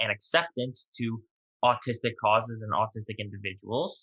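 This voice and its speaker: A man with an American accent has a normal speaking voice. He talks fairly quickly at a medium pitch with fairly even intonation. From New York. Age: 20s. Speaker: podcast guest, merchandise founder. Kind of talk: interview.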